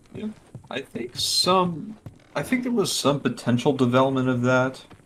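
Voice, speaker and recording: Speaking at a moderate pace with medium pitch and lively intonation, a man is heard over noticeable background noise. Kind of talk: casual chat. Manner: halting, stuttering.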